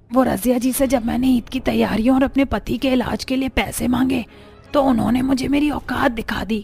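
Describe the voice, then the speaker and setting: In a cartoonish character voice, a female-sounding speaker talks at a fairly quick clip with a high pitch, faint music playing behind her. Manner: humble, respectful.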